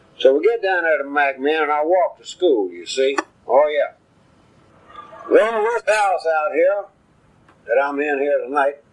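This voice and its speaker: With a Central Texas accent, a man with a fairly high voice speaks at a fairly slow pace, using lively intonation and long, frequent pauses. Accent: Central Texas rural Southern. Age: 70s. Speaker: retired farmer. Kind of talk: oral history recording. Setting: at home. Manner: slow, rambling with fillers.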